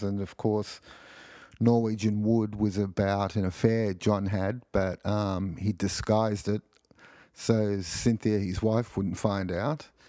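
With an Australian accent, a man speaks at a moderate pace and fairly low pitch. His tone is dark and mellow, his intonation fairly even. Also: very clean recording, silent background. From Australia (Sydney). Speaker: podcast host. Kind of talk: casual solo podcast monologue. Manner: hesitant, many fillers.

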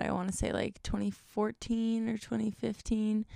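The recording is very clean and the background silent. A woman talks in an American accent. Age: 20s. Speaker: podcast host and content creator. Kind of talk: casual solo chat. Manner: animated.

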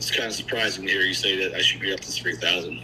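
A man's voice over noticeable background noise. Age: 40s. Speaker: caller seeking fitness advice. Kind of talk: casual chat. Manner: halting, many fillers and restarts.

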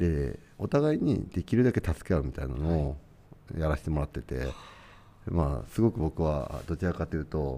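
A man talks at a moderate pace with lively intonation and a very deep, low pitch. His tone is dark and mellow, with vocal fry. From Tochigi, Japan. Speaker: furniture company founder. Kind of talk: casual interview.

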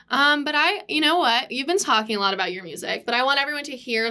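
Her bright, sharp tone and lively intonation mark this woman's very fast delivery. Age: 20s. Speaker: student podcast host. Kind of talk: casual chat.

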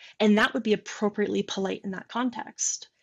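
Against a quiet background, a woman with an unremarkable speaking voice talks at a moderate pace in a fairly high pitch. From Michigan. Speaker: software developer and product manager. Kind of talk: casual chat. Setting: video call.

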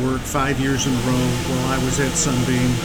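Over noticeable background noise and audible room echo, a man with an American accent speaks at a fairly quick pace. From upstate New York. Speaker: executive coach and interim pastor. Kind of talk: casual interview. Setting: live remote at a fast food restaurant.

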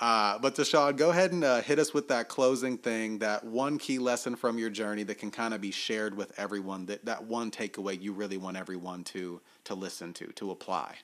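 A man with a plain, everyday voice and an American accent talks at a fairly quick pace. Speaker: podcast host. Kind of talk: casual chat.

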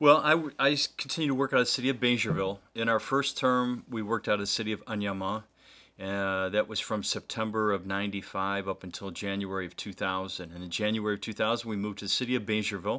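The voice has a bright, sharp tone and ordinary pitch variation, moving at a very fast pace. The recording is very clean, with a silent background. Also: man, fairly low pitch for a man. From US Midwest, Ohio (Cleveland suburbs). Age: 50s. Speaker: missionary. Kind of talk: interview conversation.

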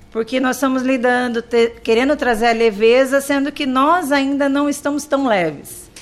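A woman talks at a high pitch with fairly even intonation. Her pace is moderate, with hardly any pauses. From Brazil, interior of São Paulo state. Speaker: primary school teacher. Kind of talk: radio interview.

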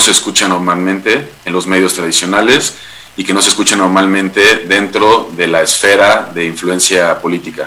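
Noticeable background noise runs under a man speaking at a moderate pace in a fairly low pitch. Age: 20s. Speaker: human rights consultant and podcast producer. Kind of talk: interview.

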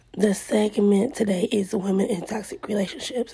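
A woman speaks at medium pitch with fairly even intonation. Noticeable background noise runs under her voice. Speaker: podcast host. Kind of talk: self-interview monologue.

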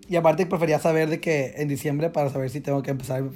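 A man's plain, everyday voice, fairly high-pitched, with fairly even intonation and a fairly quick pace. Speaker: dancer and choreographer. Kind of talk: casual chat.

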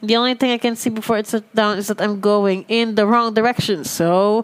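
Noticeable background noise sits under the clip. A woman talks, her intonation fairly level. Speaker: podcast host reading stories. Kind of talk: reading aloud.

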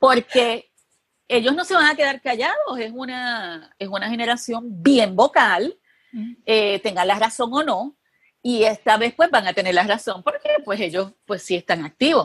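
In a dry, close sound with no echo, a woman with an unremarkable speaking voice talks at a fairly slow pace, her fairly high pitch carried by lively intonation. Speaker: journalist and TV producer. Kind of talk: interview conversation.

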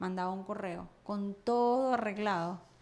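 The speaker is a woman. She has a Venezuelan accent. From Venezuela (Caracas). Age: 30s. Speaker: entrepreneur. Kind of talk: casual chat. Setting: studio.

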